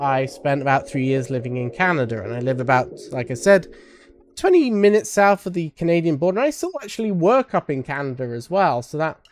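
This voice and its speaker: With a British accent, a man talks at a fairly quick pace over noticeable background noise. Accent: British, sometimes taken for Australian. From UK. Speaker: streamer giving a convention panel. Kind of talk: live stream panel talk. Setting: home streaming room with server racks. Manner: casual, rambling with fillers. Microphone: sound issues.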